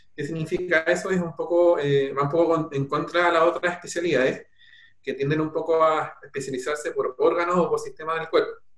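A man speaks at a high pitch and a fairly quick pace, with monotone, flat intonation. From Chile, Peumo area (rural O'Higgins). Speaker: doctor in family medicine training. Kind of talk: interview on live stream.

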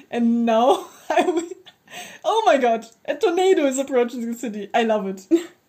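With a German accent, a woman speaks at a high pitch. Her delivery has very wide pitch swings at a moderate pace. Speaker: podcast co-host. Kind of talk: casual chat.

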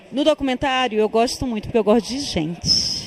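The intonation is lively, heard over noticeable background noise. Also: woman. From Tocantins, Brazil (sertão). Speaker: film director. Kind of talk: interview. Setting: film festival.

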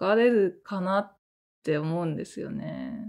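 In a very clean recording with a silent background, a woman with a medium pitch and lively intonation speaks at a fairly slow pace. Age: 40s. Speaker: solo podcast host and novelist. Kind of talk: casual solo talk. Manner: animated.

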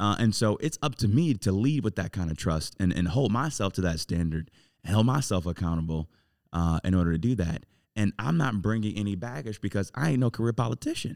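A man with an American accent, an unremarkable speaking voice, fairly low pitch and lively intonation, in a dry, close sound with no echo. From Cleveland, Ohio (Southeast Side). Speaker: mayoral candidate. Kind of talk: interview.

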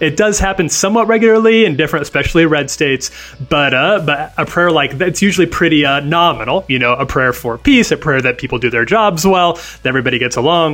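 Talking at a very fast pace with hardly any pauses, a man uses a fairly high pitch and lively intonation. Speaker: senior editor, co-host. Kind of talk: news podcast banter. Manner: casual, halting, with filler words.

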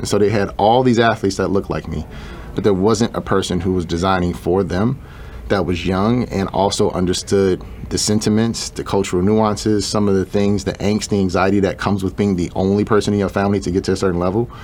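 A man with an American accent talks at a very fast pace, his fairly low pitch held in fairly even intonation. Noticeable background noise runs underneath. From Chicago, US Midwest. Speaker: shoe designer and entrepreneur. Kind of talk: interview.

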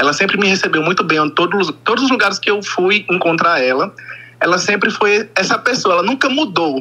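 A man with a northeastern Brazilian accent uses a raised, projected voice at a high pitch and a fairly quick pace. His intonation is lively and his loudness very even, over noticeable background noise. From Brazil, Northeast. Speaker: caller, fan. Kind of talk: phone-in. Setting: phone call.

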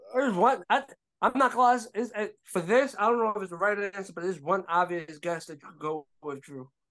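A man's high-pitched voice with lively intonation at a fairly quick pace. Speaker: podcast co-host. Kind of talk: casual banter, sports talk.

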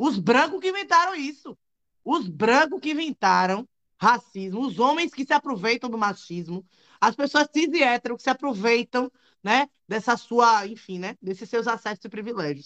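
Pitch swings very widely as the speech holds a moderate pace. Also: woman, high pitch for a woman. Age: 30s. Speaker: lawyer and activist. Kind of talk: live panel discussion.

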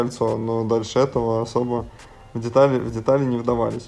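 This man talks at a moderate pace in a monotone, flat delivery. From Russia, Samara region (Syzran). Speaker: basketball and fitness coach. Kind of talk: interview.

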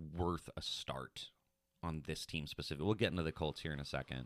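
A man speaks at a moderate pace with vocal fry, the sound dry and close with no echo. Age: 30s. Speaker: fantasy football podcast host. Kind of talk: casual chat.

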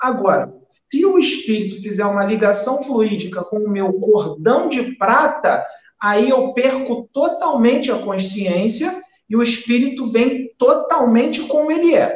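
Speaking with a Rio de Janeiro accent, a man uses an extremely high pitch and lively intonation. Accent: carioca. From Rio de Janeiro, Brazil. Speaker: spiritualist medium. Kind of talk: spiritual talk in a live stream chat.

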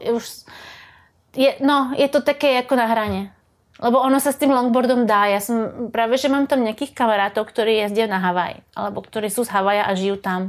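A woman with a normal speaking voice talks at a fairly quick pace, her pitch fairly high and its variation ordinary. The recording is very clean, with a silent background. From Slovakia. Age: 40s. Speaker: surfer. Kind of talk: casual chat.

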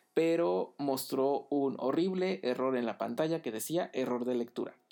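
A man speaks at a moderate pace with lively intonation. Music plays in the background. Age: 30s. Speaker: tech podcaster. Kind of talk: solo podcast monologue. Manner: hesitant, many fillers.

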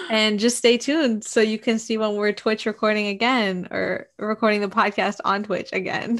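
At a moderate pace and with hardly any pauses, a woman speaks at a fairly high pitch. Her intonation is fairly even, with noticeable background noise behind her. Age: 20s. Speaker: podcast co-host. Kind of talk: casual chat. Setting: livestream recording.

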